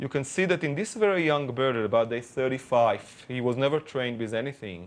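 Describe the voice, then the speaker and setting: Lively intonation and a fairly quick pace mark this speaker with a non-native accent. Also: man, medium pitch for a man. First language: not English. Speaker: birdsong scientist. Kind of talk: interview explanation.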